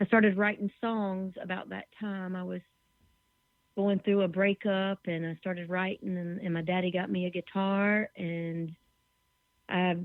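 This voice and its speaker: A woman talks in a Southern US accent at medium pitch. Her intonation is monotone and flat. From US South. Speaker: musician and songwriter. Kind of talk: interview. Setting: internet radio show.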